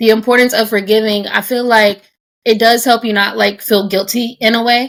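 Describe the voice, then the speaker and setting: A woman with a plain, everyday voice and fairly high pitch speaks at a fairly quick pace with fairly even intonation. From United States. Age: 20s. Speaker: podcast host. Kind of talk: casual podcast conversation. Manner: conversational, casual.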